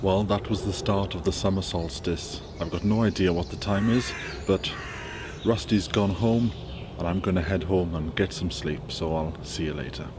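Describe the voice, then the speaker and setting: A man with a very deep, low voice talks at a moderate pace amid audible room echo and noticeable background noise. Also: ordinary pitch variation. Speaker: allotment gardener and video presenter. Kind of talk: casual gardening tutorial. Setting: outdoors on allotment. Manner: quiet.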